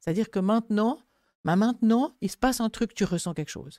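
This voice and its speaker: Dark and mellow, a woman's voice comes through dry and close with no echo, on a very clean recording with a silent background. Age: 70s. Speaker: grief counsellor. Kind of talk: casual chat.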